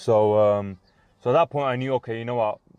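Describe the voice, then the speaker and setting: A fairly quick, fairly even delivery with a British accent against a quiet background. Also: man. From UK. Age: 20s. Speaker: vlogger. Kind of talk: casual vlog monologue. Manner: halting, many fillers.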